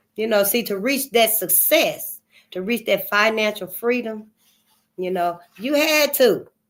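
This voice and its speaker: A woman talks at a moderate pace with a fairly high pitch. Her tone is animated, with ordinary pitch variation. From US South. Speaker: channel host reading and discussing history books. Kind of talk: casual commentary and book discussion. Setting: seated, recording for online audience.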